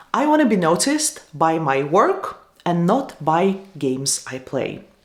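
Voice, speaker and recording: Using a Russian accent, a woman speaks at a fairly slow pace with a fairly low pitch and very wide pitch swings. Audible room echo surrounds her voice. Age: 30s. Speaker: YouTuber and tech manager. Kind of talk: lecture.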